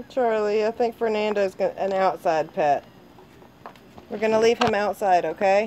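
Light background noise runs under speech delivered at a fairly slow pace. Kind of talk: casual parent talk to a child. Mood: gentle, amused, coaxing. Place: garden. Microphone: phone near.

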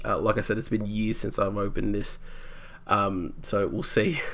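Mumbling, a man speaks at a medium pitch. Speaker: gamer. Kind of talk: casual talk to camera. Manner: hesitant, mumbling, lots of filler.

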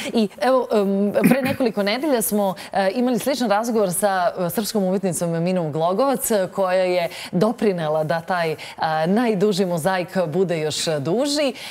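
A woman's lively intonation carries her speech along at a moderate pace. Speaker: TV morning show host. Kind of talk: TV interview. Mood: warm, smiling. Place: studio. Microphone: lapel.

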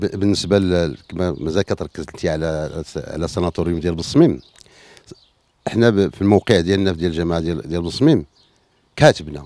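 A man with a very deep, low pitch and a dark, mellow tone speaks at a moderate pace with long, frequent pauses, in a dry sound with no echo. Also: ordinary pitch variation. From Morocco, Middle Atlas (Ifrane area); Morocco. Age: 50s. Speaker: local elected official. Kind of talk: interview. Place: garden. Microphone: handheld.

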